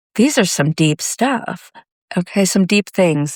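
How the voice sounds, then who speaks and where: On a very clean recording with a silent background, a woman speaks with ordinary pitch variation in a dry, close sound with no echo. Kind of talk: pep talk. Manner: slow; gentle.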